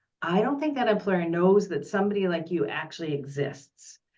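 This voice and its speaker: A woman talks at a very fast pace with lively intonation and a fairly low pitch, and audible room echo surrounds her voice. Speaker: career development presenter. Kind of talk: online presentation Q&A.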